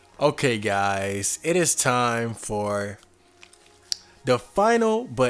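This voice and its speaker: Over music in the background, a man talks at a very slow pace in a medium pitch with ordinary pitch variation. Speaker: podcast host. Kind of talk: casual podcast monologue.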